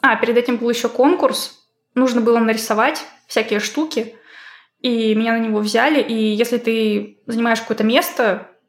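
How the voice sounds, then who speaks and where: A woman talks at a moderate pace, her fairly high pitch showing ordinary variation. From Russia, Izhevsk. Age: 20s. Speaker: 2D artist. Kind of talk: casual chat.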